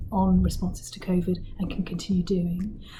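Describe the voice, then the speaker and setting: Medium-pitched speech from a woman at a moderate pace, in a room with audible echo and noticeable background noise. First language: not English. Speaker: charity board chair. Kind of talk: interview answers. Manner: hesitant fillers, some repetition.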